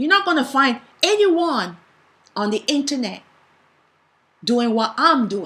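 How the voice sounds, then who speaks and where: A woman's raised, projected, high-pitched voice with a passionate tone, very wide pitch swings, a fairly slow pace and long, frequent pauses. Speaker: bible teacher. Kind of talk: bible teaching. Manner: passionate, sometimes strong.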